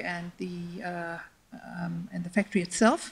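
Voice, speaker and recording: Her voice carries a somewhat breathy quality as the woman talks. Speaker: public panelist. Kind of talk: panel presentation. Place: hall. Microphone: handheld.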